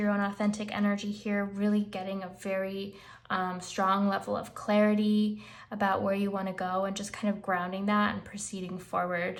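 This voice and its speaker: Audible room echo surrounds a woman whose medium-pitched voice stays monotone and flat. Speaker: tarot reader. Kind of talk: tarot reading, casual talk to camera.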